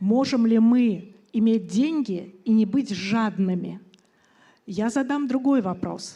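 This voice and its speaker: Somewhat breathy and dark, mellow in tone, a woman with a fairly high pitch and a Russian accent speaks at a fairly slow pace, with audible room echo around her. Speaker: conference speaker, entrepreneur. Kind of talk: conference talk.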